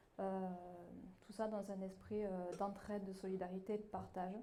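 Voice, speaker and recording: A woman speaks at a moderate pace in a flat monotone. Audible room echo and noticeable background noise surround her voice. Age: 30s. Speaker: municipal election candidate. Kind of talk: campaign speech. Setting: public hall meeting. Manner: hesitant, many fillers.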